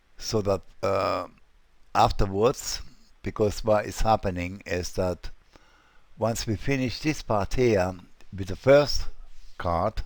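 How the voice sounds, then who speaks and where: With long pauses coming often, the delivery is very slow. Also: man. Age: 60s. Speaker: web design tutorial creator. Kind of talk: tutorial. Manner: casual, hesitant with fillers.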